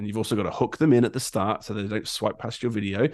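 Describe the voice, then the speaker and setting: Fairly low in pitch, a man talks with an English accent and fairly even intonation. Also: quiet background. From England. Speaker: graphic designer and content creator. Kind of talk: podcast interview. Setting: podcast recording. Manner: halting, many ums and ahs.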